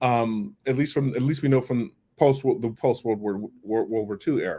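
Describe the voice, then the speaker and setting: Speaking at a moderate pace, a man has a dark, mellow tone, a medium pitch and fairly even intonation. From US Midwest (St. Louis area). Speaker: activist. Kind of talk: interview. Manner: halting.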